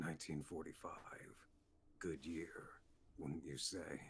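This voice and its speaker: A man's put-on character voice, very deep and low in pitch, with monotone, flat intonation over clear background noise. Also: fairly slow pace. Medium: audio drama. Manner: smooth, insinuating, menacing.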